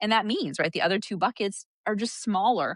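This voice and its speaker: In a dry, close sound with no echo, a woman talks at a fairly quick pace and a fairly high pitch. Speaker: physician and coach. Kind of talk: interview conversation. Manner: fast.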